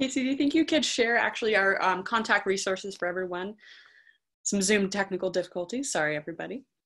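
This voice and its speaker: A woman with an American accent speaks at a very fast pace. The background is quiet. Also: lively intonation. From Northern California. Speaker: moderator of a university virtual visit. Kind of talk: presentation and Q&A moderation. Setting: video call. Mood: friendly, upbeat. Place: home room. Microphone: video call.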